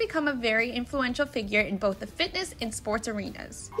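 A woman's high-pitched voice with lively intonation at a fairly quick pace, music playing in the background. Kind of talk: news voiceover narration.

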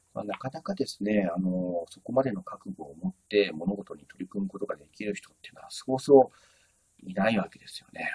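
A man talks at a fairly quick pace with big swings in loudness. The sound is dry and close, with no echo. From Japan, Tokyo. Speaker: YouTuber, business educator. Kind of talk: solo talk introducing a business figure. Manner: polite, with many fillers.

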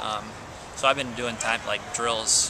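Noticeable background noise sits under a dry sound with no echo. A man talks at a moderate pace. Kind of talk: interview answer. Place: stadium. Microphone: phone near.

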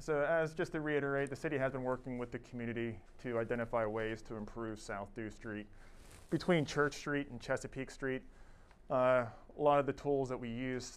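The speaker is a man, going at a moderate pace. He keeps his intonation fairly even. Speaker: presenter. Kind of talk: public presentation. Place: meeting room.

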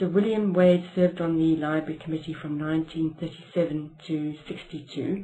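A woman speaks at a fairly slow pace in a fairly low voice, with monotone, flat intonation. Light background noise is present. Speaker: interviewer. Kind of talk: oral history interview. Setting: library. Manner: formal.

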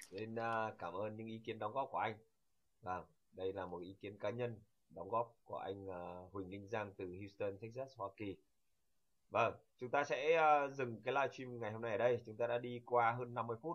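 At a moderate pace, a man speaks in a normal speaking voice of medium pitch with ordinary pitch variation. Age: young. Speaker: channel host. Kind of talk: interview.

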